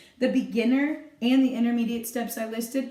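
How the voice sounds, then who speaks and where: Noticeable background noise and audible room echo surround the voice. A woman speaks at a fairly high pitch. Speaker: dance teacher. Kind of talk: tutorial. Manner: loud; animated.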